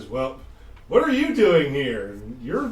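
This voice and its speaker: Putting on a character voice, a man talks at a fairly high pitch. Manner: sarcastic, dismissive.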